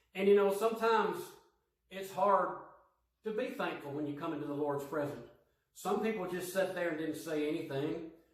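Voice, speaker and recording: There is audible room echo as a man talks at a high pitch and moderate pace with ordinary pitch variation. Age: middle-aged. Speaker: lay preacher. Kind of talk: sermon.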